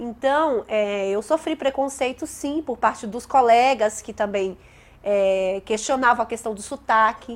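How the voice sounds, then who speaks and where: A woman with a northeastern Brazilian accent speaks at a fairly slow pace and a fairly high pitch with ordinary pitch variation, in a very clean recording with a silent background. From Brazilian Northeast, Bahia–Minas border. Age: 30s. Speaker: teacher. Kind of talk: interview testimony.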